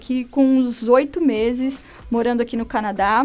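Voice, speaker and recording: The speaker is a woman with a high pitch. Her intonation is fairly even. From Brazil, São Paulo. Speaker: journalist. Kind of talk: personal testimony.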